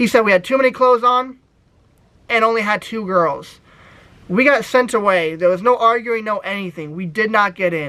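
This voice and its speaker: A man uses a raised, projected voice with a high pitch and a bright, sharp tone. His tone is animated, his pitch variation ordinary and his pace moderate. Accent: American. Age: 20s. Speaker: YouTuber. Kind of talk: casual vlog storytelling.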